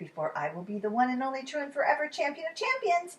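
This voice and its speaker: A woman uses a put-on character voice, high in pitch and delivered at a very fast pace. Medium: read story. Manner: boastful, eager.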